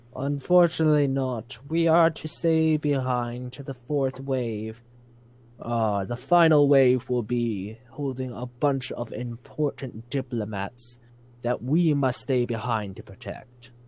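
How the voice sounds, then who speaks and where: Putting on a character voice, a man speaks at medium pitch. His pace is fairly slow. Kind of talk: military briefing. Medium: actual play. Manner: formal, stiff.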